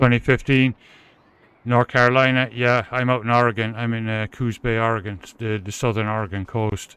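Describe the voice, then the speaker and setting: A man with a Cork accent, medium pitch, fairly even intonation and a moderate pace, in a very clean recording with a silent background. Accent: Irish (Cork). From Ireland, Cork City. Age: 50s. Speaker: live streamer, gamer. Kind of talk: casual chat.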